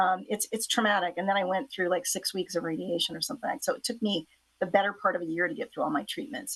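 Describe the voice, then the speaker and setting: A woman's very fast, lively speech at a medium pitch. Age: 60s. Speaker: author. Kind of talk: interview. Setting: talk show. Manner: casual, hesitant with fillers.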